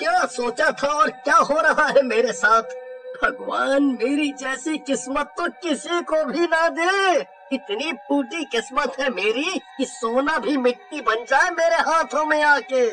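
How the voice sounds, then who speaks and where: A cartoonish character voice at a fairly slow pace, with clear background noise. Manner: panicked, shouting.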